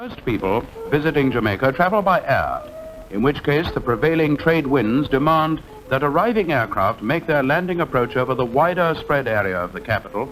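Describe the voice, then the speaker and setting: A man's fairly high voice with very wide pitch swings at a fairly quick pace, with music in the background. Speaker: narrator. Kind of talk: documentary travelogue narration.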